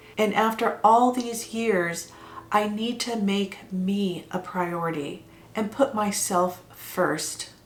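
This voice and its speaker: A woman with an American accent speaks very slowly at a medium pitch, with ordinary pitch variation. Audible room echo and noticeable background noise fill the recording. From California, US (Monterey Bay area). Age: 60s. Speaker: vlogger. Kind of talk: personal vlog monologue.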